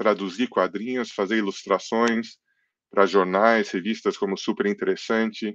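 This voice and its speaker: An ordinary speaking voice, a man's at fairly low pitch with fairly even intonation, is heard against a quiet background in a dry sound with no echo. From England, then Brazil from age 10. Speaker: comic book artist. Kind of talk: interview. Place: home room. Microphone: headset.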